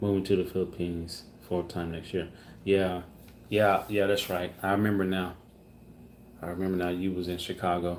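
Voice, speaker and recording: A man with an American accent talks at a moderate pace in a very deep, low pitch and monotone, flat intonation, leaving long, frequent pauses. Audible room echo surrounds his voice. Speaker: family vlogger. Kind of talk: live stream Q&A reading chat. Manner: halting.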